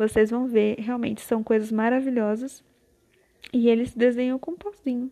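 A woman's high-pitched voice, dark and mellow in tone, dry and close with no echo. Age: 20s. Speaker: podcaster. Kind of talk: casual monologue. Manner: rambling, laughs often.

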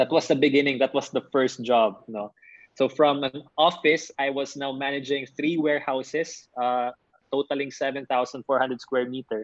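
A man speaks with a Filipino accent. His fairly high voice keeps a fairly even intonation. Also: moderate pace. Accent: Filipino (Bisaya) English. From Philippines, Davao (Mindanao). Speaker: entrepreneur and motivational speaker. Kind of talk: interview. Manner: measured pace.

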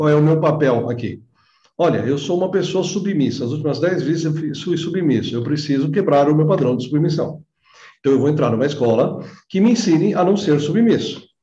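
This man speaks at a fairly quick pace in a fairly high pitch, his tone dark and mellow, with ordinary pitch variation. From Brazil, São Bernardo (São Paulo area). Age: 50s. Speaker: holistic therapist. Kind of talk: interview.

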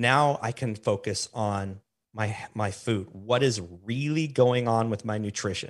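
On a very clean recording with a silent background, a man speaks in a medium pitch with ordinary pitch variation. His tone is animated, and his pace is fairly slow. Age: 40s. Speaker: fitness podcaster and health coach. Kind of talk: casual interview.

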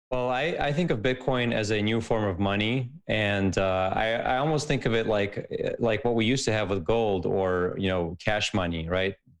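A man with an American accent, an ordinary speaking voice, fairly low in pitch with ordinary pitch variation, at a moderate pace with hardly any pauses and very even loudness. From Soviet Union, raised in the US. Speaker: tech company executive. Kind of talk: podcast interview.

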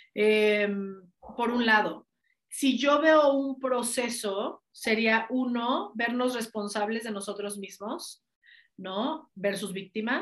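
Energetic in tone, the speaker talks with a Mexican accent and ordinary pitch variation. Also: woman. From Mexico. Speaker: life coach. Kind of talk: interview.

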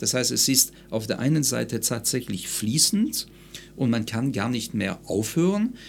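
Vocal fry runs through a man's medium-pitched voice. He speaks at a fairly slow pace with lively intonation. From France (Lyon), moved to Munich at 13-14. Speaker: psychologist and stress coach. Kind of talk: interview conversation.

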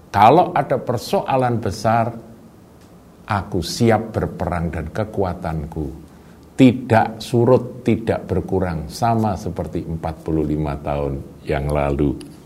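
Speaking at a very slow pace, a man with a fairly low voice is heard with audible room echo. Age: 60s. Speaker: pastor. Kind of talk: sermon.

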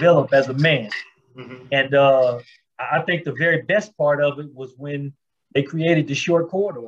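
The man's voice sits at a fairly high pitch and sounds somewhat breathy. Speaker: formerly incarcerated reentry advocate. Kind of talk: interview.

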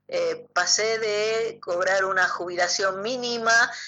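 Very slowly, a woman speaks in a bright, sharp tone with fairly even intonation. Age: 60s. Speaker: biodecoding therapist. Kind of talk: radio interview. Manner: hesitant, many fillers.

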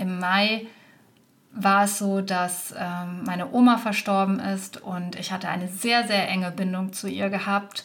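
A woman speaks at a fairly slow pace in a medium pitch, her intonation flat and monotone. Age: 30s. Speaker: podcast host and business mentor for virtual assistants. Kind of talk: solo podcast monologue.

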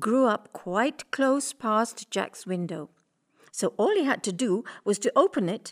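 Against a quiet background, someone reads out plainly with lively intonation.

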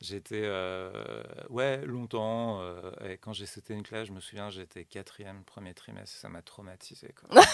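With big swings in loudness, a man of fairly low pitch speaks at a fairly slow pace and with fairly even intonation. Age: 40s. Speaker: comedian. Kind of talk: casual chat. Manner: halting.

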